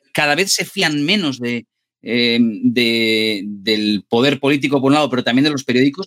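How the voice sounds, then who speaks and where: A man's bright, sharp-toned voice in a dry, close recording with no echo. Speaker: journalist, debate moderator. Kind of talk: interview. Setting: video call.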